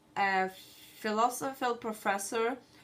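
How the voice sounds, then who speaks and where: Fairly even intonation runs through this woman's speech. She has a non-native accent. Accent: noticeable foreign. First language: not English. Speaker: student. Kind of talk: class presentation. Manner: halting, with many fillers.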